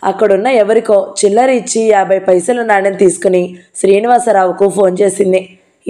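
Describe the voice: Against a quiet background, plain reading aloud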